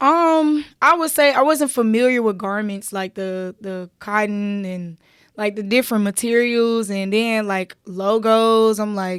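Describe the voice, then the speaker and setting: A woman's fairly high voice in a Memphis accent, fairly slow with hardly any pauses and ordinary pitch variation, on a very clean recording with a silent background. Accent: Memphis Southern accent, a little twang. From Memphis, Tennessee (US South). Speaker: fashion designer and entrepreneur. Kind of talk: casual interview chat. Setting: studio. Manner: animated, casual.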